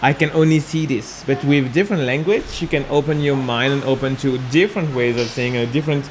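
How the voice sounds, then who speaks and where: A man talks at a fairly quick pace with hardly any pauses and a fairly high pitch. Noticeable background noise sits behind him. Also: ordinary pitch variation. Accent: Mauritian. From Mauritius. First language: Mauritian Creole. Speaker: gymnastics and parkour coach. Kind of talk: interview answer. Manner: hesitant, with fillers.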